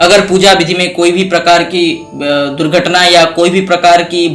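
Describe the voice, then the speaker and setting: A man with a non-native accent speaks at a high pitch and with fairly even intonation, with audible room echo and music in the background. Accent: non-native Hindi. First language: Odia (speaking Hindi). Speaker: religious YouTuber. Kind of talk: tutorial.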